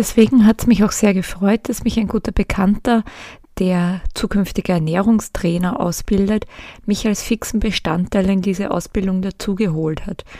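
A woman speaks at a moderate pace in a medium pitch, her somewhat breathy, dark and mellow voice kept to fairly even intonation. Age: 40s. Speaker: podcast host, psychotherapist in training. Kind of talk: solo podcast monologue.

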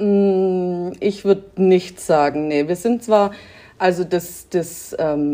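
Her voice is a woman's, dark and mellow at a medium pitch. The pitch varies in an ordinary way. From Lake Constance area, southern Germany (Swabia). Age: 30s. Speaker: sport shooter. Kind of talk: interview. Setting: remote interview from home.

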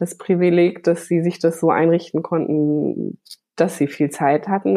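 A woman speaks at a fairly slow pace, her pitch fairly low for a woman, with ordinary pitch variation. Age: 30s. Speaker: graphic designer and children's art teacher. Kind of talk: interview. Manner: hesitant with fillers.

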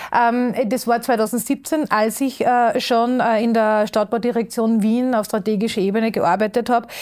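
Recorded very cleanly against a silent background, the voice moves at a fairly slow pace in a flat monotone, its loudness very even throughout. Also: woman, fairly high pitch for a woman. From Upper Austria. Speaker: circular economy expert. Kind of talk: interview. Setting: studio.

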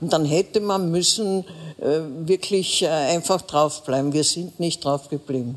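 Over noticeable background noise, a woman speaks at a fairly slow pace with a very deep, low pitch and ordinary pitch variation. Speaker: veteran political journalist. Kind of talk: live panel discussion.

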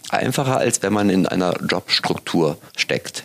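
Noticeable background noise behind a man's fairly low voice with ordinary pitch variation. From West Germany. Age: 40s. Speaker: podcast host and magazine editor. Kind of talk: casual interview chat.

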